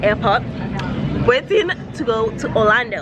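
Crowd noise sounds in the background as a woman speaks. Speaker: vlogger. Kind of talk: casual vlog chat. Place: station. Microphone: phone near.

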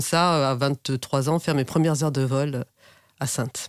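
A woman talks at a fairly slow pace with ordinary pitch variation. The very clean recording has a silent background and a dry, close sound with no echo. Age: 50s. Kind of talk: interview.

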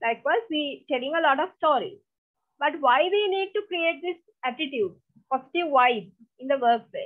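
A woman's high voice moves at a moderate pace. Her pitch swings very widely. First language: Sinhala. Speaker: lecturer. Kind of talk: online lecture. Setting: video call.

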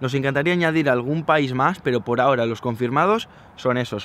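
A man at a fairly quick pace, with ordinary pitch variation over light background noise. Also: dry sound with no echo. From Spain. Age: 20s. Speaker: travel vlogger. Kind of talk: Q&A vlog. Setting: outdoors. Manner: animated. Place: open country. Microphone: phone near.

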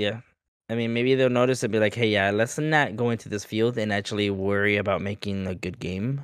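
A man speaks at a fairly quick pace in a plain, everyday voice, his fairly low pitch carrying fairly even intonation over a quiet background with dry sound and no echo. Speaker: gaming podcast co-host. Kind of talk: casual chat. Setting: video call. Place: home room. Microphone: studio mic.

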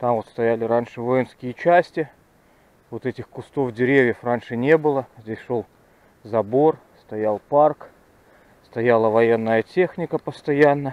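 Very slow and broken by long, frequent pauses, a man's voice comes through with a dry sound and no echo. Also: medium pitch for a man, ordinary pitch variation. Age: 40s. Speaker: fishing video blogger; angler vlogger. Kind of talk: outdoor vlog narration. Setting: outdoors by a river. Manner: casual, reflective. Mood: nostalgic, relaxed. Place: forest. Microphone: phone near.

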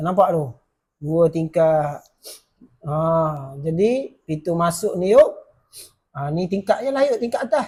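Speaking very slowly with long, frequent pauses, a man uses a high pitch, lively intonation and a dark, mellow tone. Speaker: electrical wiring educator. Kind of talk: casual explanatory tutorial.

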